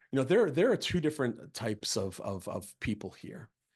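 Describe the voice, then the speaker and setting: A man with an American accent speaks in an animated tone. The background is quiet. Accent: Boston accent, comes and goes. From Massachusetts (Plymouth, Boston area). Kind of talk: training presentation. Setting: video call (Zoom). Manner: animated, repetitive false starts.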